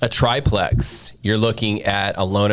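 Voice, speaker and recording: A man at a fairly low pitch and fairly slow pace, with noticeable background noise. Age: 40s. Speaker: mortgage loan officer. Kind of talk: casual chat.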